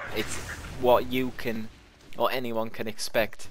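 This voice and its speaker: A man talks at a fairly slow pace in a space with audible room echo and noticeable background noise. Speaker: gaming video creator. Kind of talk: let's play gameplay commentary. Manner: casual, unscripted with hesitations.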